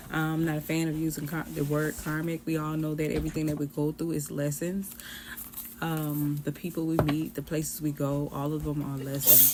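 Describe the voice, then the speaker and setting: Through noticeable background noise, a woman with an American accent speaks at a very deep, low pitch and moderate pace in a monotone, flat intonation. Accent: Charleston Gullah Geechee, comes and goes. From US South, Charleston, South Carolina. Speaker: tarot reader. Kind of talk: tarot reading. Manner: casual, chatty.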